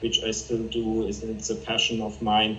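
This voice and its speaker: A man with a German accent speaks at a medium pitch and moderate pace. Audible room echo and noticeable background noise fill the recording. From Germany. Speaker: chemist and fine art photographer. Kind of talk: interview.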